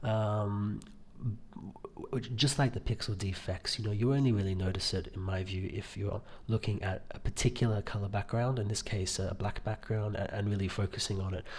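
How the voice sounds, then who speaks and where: Speaking at a moderate pace, a man uses a fairly low pitch and fairly even intonation, his voice somewhat breathy. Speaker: tech reviewer. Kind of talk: product review video. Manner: monotone; quiet, hesitant with many fillers.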